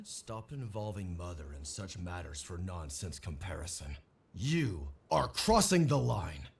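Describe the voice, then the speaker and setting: A man's put-on character voice, very deep and low, at a moderate pace. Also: very clean recording, silent background. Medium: video game.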